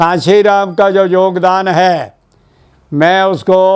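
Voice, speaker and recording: The man's voice is high-pitched. His intonation stays fairly even. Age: 90s. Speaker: Ambedkarite editor and publisher. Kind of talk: interview.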